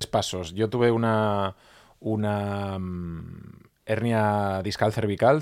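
Recorded very cleanly with a silent background, a man speaks at a fairly low pitch. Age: 40s. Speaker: journalist and podcaster. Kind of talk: interview. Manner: halting.

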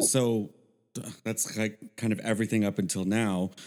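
A man uses a normal speaking voice, medium in pitch, and keeps a moderate pace. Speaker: podcast co-host. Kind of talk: casual banter and interview. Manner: playful, jokey.

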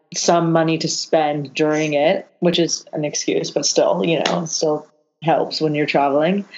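An unremarkable speaking voice with a Canadian accent, moderate pace and fairly even intonation against a quiet background. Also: woman. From Canada. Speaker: yacht chef and hostess. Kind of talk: casual chat.

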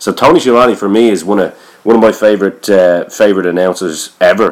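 Speaking in an Irish accent, a man has a very deep, low pitch. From Ireland. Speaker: podcast host. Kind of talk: casual interview.

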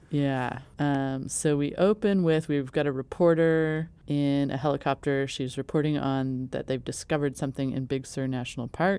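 Her tone is dark and mellow. The woman keeps a moderate pace. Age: 40s. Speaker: podcast co-host. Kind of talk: casual chat.

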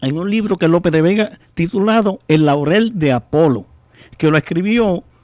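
Speaking at a fairly slow pace, a man with a high pitch uses lively intonation in a dry, close sound with no echo. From Puerto Rico, San Sebastián. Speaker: poet and author of décimas. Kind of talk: radio interview. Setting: radio studio.

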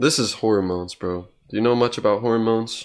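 A man with an American accent has an unremarkable speaking voice, a medium pitch and ordinary pitch variation on a very clean recording with a silent background. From Oklahoma, Tulsa. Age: 20s. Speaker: podcast host. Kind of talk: casual chat.

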